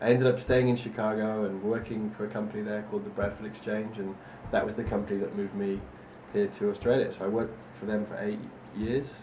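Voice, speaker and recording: Over audible room echo, a man with a fairly low pitch speaks very fast in a monotone, flat intonation. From northern England, Manchester. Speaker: entrepreneur. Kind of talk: interview answers.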